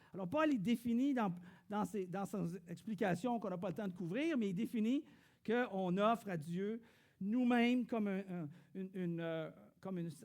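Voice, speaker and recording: In a Quebec accent, a high-pitched man speaks at a moderate pace with long, frequent pauses. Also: ordinary pitch variation. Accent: Québécois French. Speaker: pastor. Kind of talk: sermon. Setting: church.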